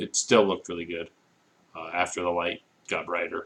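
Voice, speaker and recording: A man is speaking. His pace is moderate. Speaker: student giving peer reviews. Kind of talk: recorded peer review. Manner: low enthusiasm, somewhat monotone; hesitant, many fillers.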